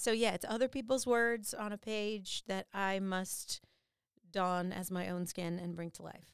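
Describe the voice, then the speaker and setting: A woman with an ordinary speaking voice talks at a medium pitch and a fairly slow pace, her loudness swinging widely, in a dry, close sound with no echo. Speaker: voice actor and singer. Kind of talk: casual interview chat.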